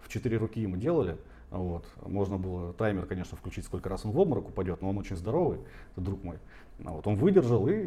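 At a very fast pace, a man with a dark, mellow, somewhat breathy voice and fairly low pitch speaks with ordinary pitch variation and big swings in loudness. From Siberia, Tomsk. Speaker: tattoo artist and marketer. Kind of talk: casual chat.

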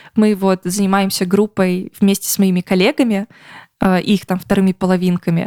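Speaking at a moderate pace, a woman uses a medium pitch and a dark, mellow tone with monotone, flat intonation, in a dry, close recording with no echo. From Russia. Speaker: podcast co-host. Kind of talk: casual chat.

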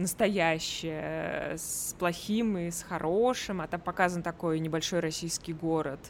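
A woman talks in a normal speaking voice at a fairly low pitch. Her intonation stays fairly even. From Russia, Tver. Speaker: podcast host. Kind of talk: casual chat.

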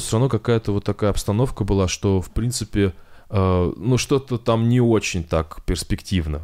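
With an unremarkable speaking voice, this man talks at a medium pitch, his intonation lively and his loudness very even. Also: very clean recording, silent background. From Kovrov, Russia. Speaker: science YouTuber. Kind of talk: casual interview.

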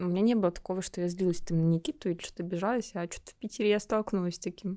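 Fairly even in intonation, a woman's voice has a dark, mellow tone. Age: 20s. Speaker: podcast co-host. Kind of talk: casual chat.

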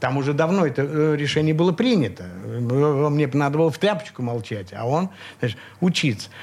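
In a plain, everyday voice, a man talks at a moderate pace with fairly high pitch and lively intonation. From Leningrad (St Petersburg), Russia. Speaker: composer and multi-instrumentalist. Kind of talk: radio interview, reminiscing. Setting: radio studio.

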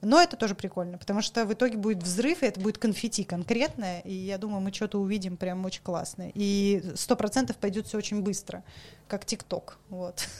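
Her tone animated, a woman speaks at a medium pitch and a moderate pace with ordinary pitch variation. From Saint Petersburg, Russia. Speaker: coffee professional. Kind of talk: casual chat. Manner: animated, talkative.

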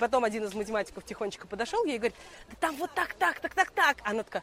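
A woman speaks very fast in a high voice, her pitch swinging very widely. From Russia, Moscow. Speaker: financier and quiz organizer. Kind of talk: casual talk at a live event. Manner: halting, many fillers.

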